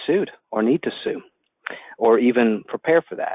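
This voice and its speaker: A man with a Southern US accent at a moderate pace, with ordinary pitch variation. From US South, Atlanta. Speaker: attorney. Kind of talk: webinar presentation. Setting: phone call.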